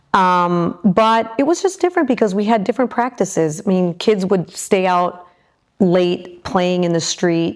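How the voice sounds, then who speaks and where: With a Midwestern American accent, a woman talks at a moderate pace in a medium pitch with ordinary pitch variation, recorded very cleanly against a silent background. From Michigan, US Midwest. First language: Spanish. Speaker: aerospace executive. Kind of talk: interview. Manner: hesitant, many fillers.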